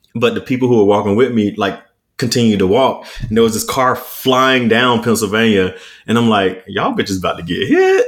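A man speaks in a normal speaking voice at a fairly quick pace, with medium pitch and fairly even intonation. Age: 30s. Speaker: podcast co-host. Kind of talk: casual chat.

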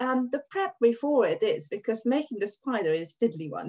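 Speaking with a Hungarian accent, a woman uses a fairly high pitch that swings very widely. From Hungary. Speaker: dance and hula hoop teacher. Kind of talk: casual interview chat.

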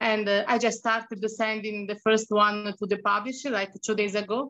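With an Italian accent, a woman of fairly high pitch speaks at a moderate pace in monotone, flat intonation. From Tuscany, Italy. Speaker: freelance writer and humanitarian. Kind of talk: casual interview chat. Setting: video call from Cambodia.

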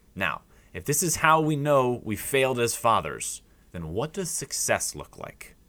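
A man's medium-pitched voice at a moderate pace, bright and sharp in tone with vocal fry, in a very clean recording with a silent background. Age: 30s. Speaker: podcast host. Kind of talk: solo commentary podcast.

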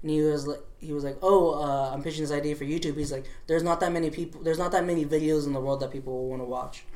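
Very fast and fairly high, a man's voice keeps a fairly even intonation. Audible room echo and noticeable background noise fill the recording. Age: 20s. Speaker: clothing brand founder. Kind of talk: casual interview. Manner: halting, many fillers.

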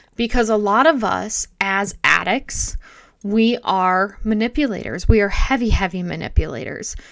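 A woman speaks in a plain, everyday voice. Her pitch is fairly high and her pace moderate. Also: ordinary pitch variation. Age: 40s. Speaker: podcast host in addiction recovery. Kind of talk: solo podcast monologue.

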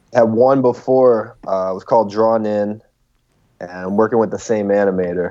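With an American accent, a man uses a normal speaking voice at a fairly low pitch, keeping a moderate pace and fairly even intonation over a quiet background. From Chicago suburbs, US. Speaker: rapper. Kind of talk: casual chat. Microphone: choppy connection.

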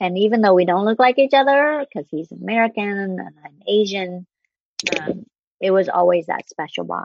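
Speaking at a moderate pace, a woman has a Vietnamese accent. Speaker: broadcast journalist. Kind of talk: casual chat.

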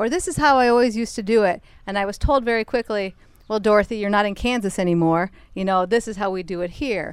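Speaking with an American accent at a very fast pace, a woman shows ordinary pitch variation on a very clean recording with a silent background. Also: medium pitch for a woman. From Minnesota. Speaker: soil health specialist. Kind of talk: casual chat interview. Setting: outdoors on a porch.

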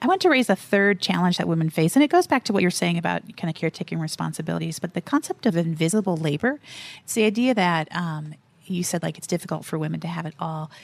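A woman talks at a very fast pace with fairly low pitch. Her pitch variation is ordinary. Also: dry, close sound with no echo. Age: 40s. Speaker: faith and work nonprofit director. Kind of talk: interview.

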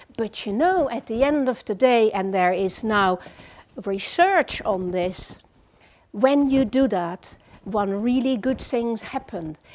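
Lively intonation runs through this very slow delivery in a Dutch accent. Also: woman, fairly high pitch for a woman. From Netherlands. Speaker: psychotherapist. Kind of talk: lecture.

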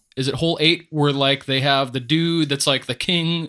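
A man's voice with a bright, sharp tone and fairly even intonation comes through in a very clean recording with a silent background. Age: 30s. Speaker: disc golf shop owner and co-host. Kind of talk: casual chat.

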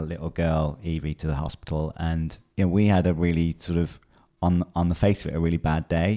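Fairly quick in pace, a man's very deep, low voice has a dark, mellow tone and fairly even intonation. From northern England, near Manchester. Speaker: health author and company founder. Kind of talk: casual interview chat. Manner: halting, many fillers.

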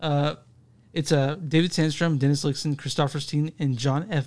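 A man with an American accent and a fairly high pitch, against a quiet background. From Dallas, Texas. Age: 30s. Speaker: podcast host. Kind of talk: casual chat. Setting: home recording with podcast mixer. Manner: jokey, laughs often.

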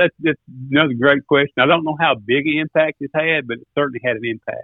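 Loudness swings widely as a man speaks in a fairly high voice. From US South, Arkansas and mid-South. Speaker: duck caller and turkey hunter. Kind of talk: casual podcast interview.

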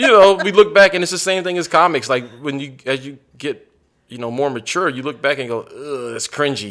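A man with an American accent speaks in an ordinary speaking voice, pitched fairly high. His intonation is lively, and his loudness swings widely. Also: fairly quick pace. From Mississippi and San Antonio, Texas (military childhood). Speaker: stand-up comedian. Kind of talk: casual interview. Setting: comedy club.

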